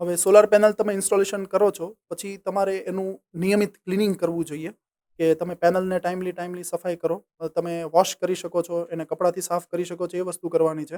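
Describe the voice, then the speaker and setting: High-pitched for a man, with a dark, mellow tone and monotone, flat intonation, in a dry, close sound with no echo. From Saurashtra, Gujarat, India. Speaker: solar business owner and engineer. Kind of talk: interview.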